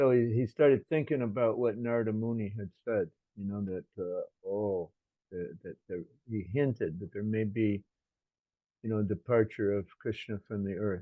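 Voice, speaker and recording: With an American accent and an ordinary speaking voice, a man of fairly low pitch talks at a moderate pace with ordinary pitch variation. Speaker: religious teacher. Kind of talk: scripture lecture with consecutive interpretation.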